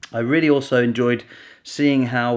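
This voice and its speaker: A man speaks quietly at medium pitch. The recording is very clean, with a silent background. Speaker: video blogger. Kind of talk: vlog to camera. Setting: at home.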